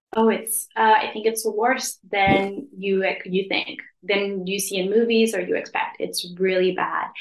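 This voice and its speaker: Her American accent is paired with a medium pitch. The woman speaks at a fairly slow pace with monotone, flat intonation. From US West Coast, Los Angeles. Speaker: English teacher. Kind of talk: casual chat.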